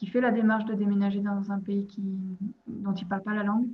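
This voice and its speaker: Somewhat breathy, a woman with a fairly high pitch talks at a moderate pace in a monotone, flat way. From Belgium, province of Liège. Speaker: expatriate. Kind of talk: interview. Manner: hesitant, many fillers and repetitions.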